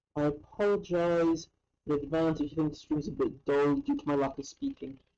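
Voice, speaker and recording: Quiet and fairly quick, a woman speaks with a dark, mellow tone, a very deep, low pitch and fairly even intonation. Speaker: maker building electronics on a live stream. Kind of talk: live stream build commentary. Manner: quiet, concentrating; halting.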